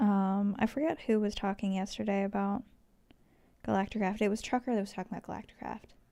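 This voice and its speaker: Soft-spoken and dark, mellow in tone, the voice moves at a very fast pace with fairly even intonation on a very clean recording with a silent background. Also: woman, medium pitch for a woman. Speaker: livestreamer. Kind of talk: casual chat. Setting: live stream. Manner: quiet today.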